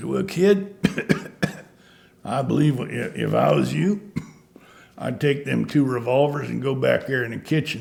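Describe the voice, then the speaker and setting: Putting on a raspy character voice at a medium pitch, a man talks at a moderate pace. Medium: solo performance. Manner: dry, laconic.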